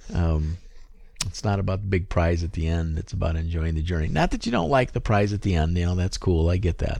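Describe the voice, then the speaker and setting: Speaking at a fairly quick pace, a man uses a very deep, low pitch and a dark, mellow tone with fairly even intonation. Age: 50s. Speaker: non-gamer discussing a video game. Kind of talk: casual chat.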